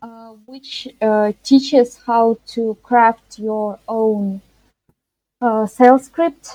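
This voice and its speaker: A woman's fairly high voice, dark and mellow in tone, with ordinary pitch variation, a very slow pace, big swings in loudness, and a dry, close sound free of echo. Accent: Russian. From Russia. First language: Russian. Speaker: freelance web and graphic designer. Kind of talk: interview. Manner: halting, frequent hesitations.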